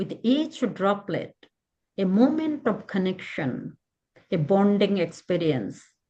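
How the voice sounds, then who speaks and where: At a very slow pace, a woman of medium pitch speaks with very wide pitch swings. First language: Bengali. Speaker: poet. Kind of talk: poetry reading.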